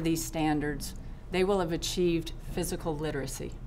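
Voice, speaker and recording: A woman speaks with a North Carolina accent at a fairly low pitch. She moves at a fairly quick pace, and the room echo is audible. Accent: Southern US (North Carolina). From US South, North Carolina. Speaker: retired physical education specialist. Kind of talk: public testimony. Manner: formal.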